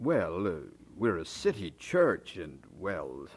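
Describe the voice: A man puts on a character voice, low in pitch with a slightly husky edge. He goes at a slow pace with very wide pitch swings.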